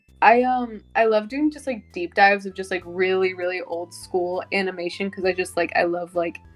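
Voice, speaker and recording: With music in the background, a woman of medium pitch speaks at a moderate pace with ordinary pitch variation and hardly any pauses. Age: 20s. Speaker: podcast guest, animation enthusiast. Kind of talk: casual chat. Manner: animated, filler-heavy.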